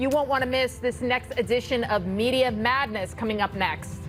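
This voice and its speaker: With music in the background, a woman in a Bronx accent talks at a moderate pace and a high pitch. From New York City (the Bronx). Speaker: TV news panel host. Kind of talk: TV panel discussion.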